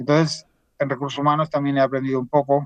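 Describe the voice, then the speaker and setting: A man's fairly high voice with a dry, close sound and no echo. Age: 60s. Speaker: finance professional, portfolio manager. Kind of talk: podcast interview.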